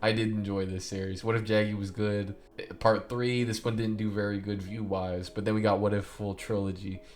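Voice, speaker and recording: Through audible room echo and music in the background, a man with a fairly low pitch speaks at a fairly quick pace. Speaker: YouTuber. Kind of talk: casual rant about own videos. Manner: fast; animated.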